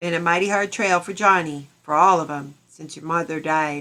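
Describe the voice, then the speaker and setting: Putting on a character voice, a woman drawls at a moderate pace and a fairly low pitch, her intonation fairly even but her loudness swinging widely. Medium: read story. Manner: folksy frontier drawl, gentle.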